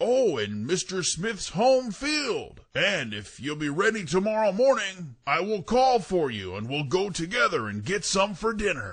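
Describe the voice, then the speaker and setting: Putting on a character voice, a man talks at a high pitch and a moderate pace with hardly any pauses. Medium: read story. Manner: sly, coaxing.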